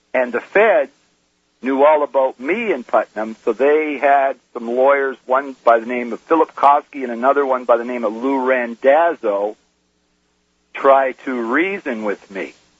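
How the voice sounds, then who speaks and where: At a fairly slow pace, a man speaks in a plain, everyday voice of medium pitch with ordinary pitch variation, the sound dry and close with no echo. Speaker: whistleblower. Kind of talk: testimony. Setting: phone call.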